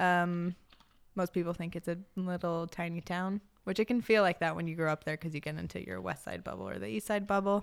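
In a very clean recording with a silent background, a woman talks at a fairly quick pace. Her pitch varies in an ordinary way. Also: fairly low pitch for a woman. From El Paso, Texas. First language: Spanish.

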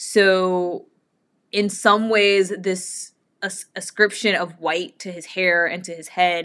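A woman's medium-pitched voice. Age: 30s. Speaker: bible podcast host. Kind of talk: bible study talk. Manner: casual, many fillers.

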